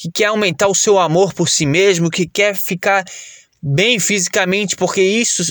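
A man talks at a fairly slow pace with a high pitch and an animated tone, in a dry, close sound with no echo. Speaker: fitness coach and podcaster. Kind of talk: sales pitch. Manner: animated, casual, persuasive pitchman; informal, jokey, profane.

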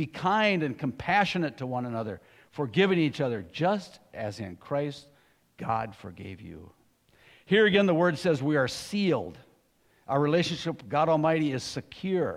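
Pitch leaps very widely from high to low as the words come at a moderate speed. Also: man. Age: 60s. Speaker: lay preacher. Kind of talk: sermon. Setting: church. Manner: halting.

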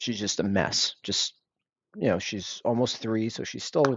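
Here a man with an American accent speaks at a medium pitch. His pace is moderate and his intonation fairly even. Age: 30s. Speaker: parent of two, office worker. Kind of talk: casual chat.

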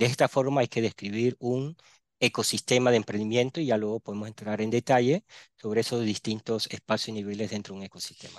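A medium-pitched man at a very fast pace, intonation fairly even, dry and close with no echo over a quiet background. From Panama (born Barranquilla, Colombia). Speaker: entrepreneurship specialist. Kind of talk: interview.

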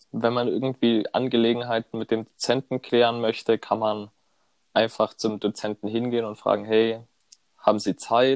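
The sound is dry and close with no echo as a man talks on a very clean recording against a silent background. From southern Germany, Konstanz on Lake Constance. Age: 20s. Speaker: student podcast co-host. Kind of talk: casual chat.

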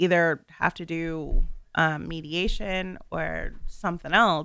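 A woman's fairly low-pitched voice with a bright, sharp tone, monotone, flat intonation and an American accent, on a very clean recording with a silent background. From northern Virginia. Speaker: first-time guest. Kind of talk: casual chat. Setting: radio studio.

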